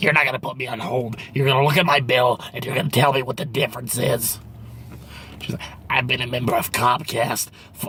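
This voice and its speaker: A man performs in a put-on character voice. Clear background noise runs behind him. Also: medium pitch for a man, fairly quick pace, fairly even intonation. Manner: demanding, irritated.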